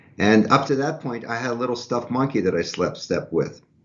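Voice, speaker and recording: At a moderate pace, a man speaks in a plain, everyday voice, medium in pitch with ordinary pitch variation. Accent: American. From US Northeast, Philadelphia. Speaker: violinist and violin professor. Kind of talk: casual interview chat.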